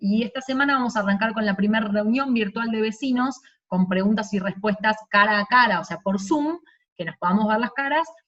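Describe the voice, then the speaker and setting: A woman talks at a very fast pace. Her voice is fairly high, with ordinary pitch variation. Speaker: city government director. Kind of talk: virtual presentation. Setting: video call.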